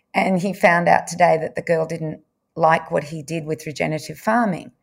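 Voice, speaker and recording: The speaker has an Australian accent and sounds somewhat breathy. The recording is very clean, with a silent background. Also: woman. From Victoria, Australia. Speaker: nutritionist. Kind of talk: interview.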